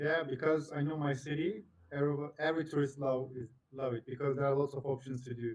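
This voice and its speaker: This man's fairly high voice holds fairly even intonation while racing at a very fast pace. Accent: Turkish. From Turkey. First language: Turkish. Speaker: online video chat streamer. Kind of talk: casual chat. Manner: halting.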